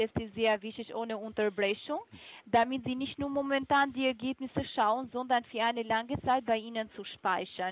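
A woman with a non-native accent speaks at a high pitch and a moderate pace, with ordinary pitch variation. The sound is dry, with no echo. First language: not German (speaking German). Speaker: supplement sales caller; caller. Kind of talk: phone sales pitch. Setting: phone call. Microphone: phone line.

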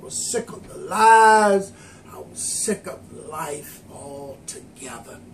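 There is light background noise as a man speaks. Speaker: lay preacher. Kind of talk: sermon. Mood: earnest testimony. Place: kitchen. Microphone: camera far.

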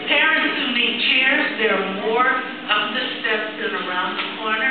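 A woman speaks at a fairly slow pace. Strong room echo and noticeable background noise fill the recording. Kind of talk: welcome address. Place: hall.

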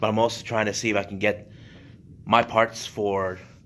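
The man's voice sits fairly low and moves at a moderate pace. His intonation is monotone and flat. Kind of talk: casual vlog chat. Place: church. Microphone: phone near.

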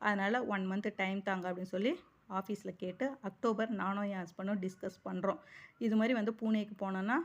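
In a normal speaking voice, a woman talks at medium pitch with fairly even intonation. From Chennai, Tamil Nadu. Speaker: personal finance vlogger. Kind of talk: vlog monologue.

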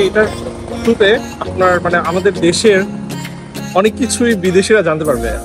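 Clear music plays in the background of this dry, echo-free recording of a man. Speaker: guest reviewing a channel. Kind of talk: casual talk to camera. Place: street. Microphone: phone near.

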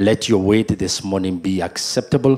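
Fairly slow speech from a man with a very deep, low pitch. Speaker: pastor. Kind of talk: opening prayer and sermon. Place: church. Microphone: handheld.

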